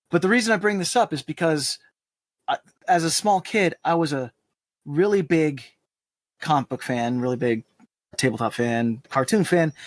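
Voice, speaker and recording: In a New England accent, a man talks with a fairly high pitch and lively intonation, leaving long, frequent pauses. The recording is dry and close, with no echo. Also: moderate pace. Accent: New England American. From Puerto Rico, raised in Massachusetts. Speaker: podcast co-host. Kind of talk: casual chat.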